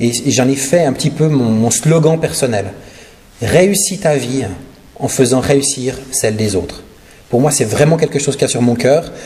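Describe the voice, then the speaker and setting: At a fairly slow pace, a man with a slight Swiss French accent speaks at a medium pitch with ordinary pitch variation and big swings in loudness, amid audible room echo and noticeable background noise. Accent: slight Neuchâtel Swiss French. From Switzerland, Neuchâtel region. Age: 40s. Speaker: guest preacher and charity representative. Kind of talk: sermon and charity presentation. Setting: church service. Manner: hesitant, many fillers.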